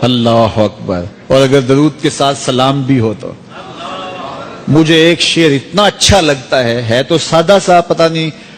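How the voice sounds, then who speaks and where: Noticeable background noise sits behind this man's voice. He has a fairly high pitch and lively intonation. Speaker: Islamic scholar giving a sermon. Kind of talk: religious sermon.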